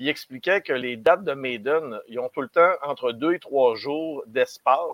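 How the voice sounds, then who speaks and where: With a plain, everyday voice, a man speaks using ordinary pitch variation. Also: fairly high pitch for a man, fairly slow pace. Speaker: metal music commentator. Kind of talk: casual chat.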